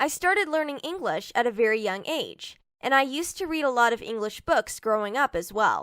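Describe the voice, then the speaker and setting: The voice swings very widely in pitch at a moderate pace, on a very clean recording with a silent background. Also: woman. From Hong Kong. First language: Cantonese. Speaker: IELTS speaking sample candidate. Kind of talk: scripted mock exam interview.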